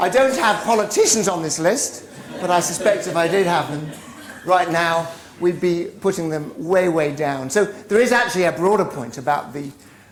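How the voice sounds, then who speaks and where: A woman with a fairly low pitch talks at a moderate pace with lively intonation. Noticeable background noise and audible room echo surround her voice. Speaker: business professor, author. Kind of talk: lecture.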